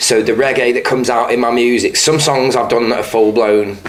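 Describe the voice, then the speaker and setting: Speaking with a northern English accent, a man at medium pitch delivers monotone, flat intonation at a moderate pace amid audible room echo and noticeable background noise. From northern England, Stoke. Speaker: musician. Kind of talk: interview. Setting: pub.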